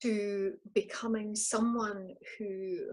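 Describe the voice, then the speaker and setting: A woman with a Scottish accent speaks at a fairly high pitch. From Scotland. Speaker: life coach. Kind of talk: interview, personal story.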